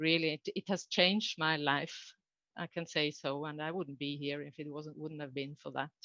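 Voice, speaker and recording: With a Norwegian accent, a woman speaks in a very deep, low pitch and a bright, sharp tone, her intonation monotone and flat. Her pace is moderate, and the sound is dry and close with no echo over a quiet background. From Norway. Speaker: coach and trainer. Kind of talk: conference talk. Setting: online conference. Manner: halting.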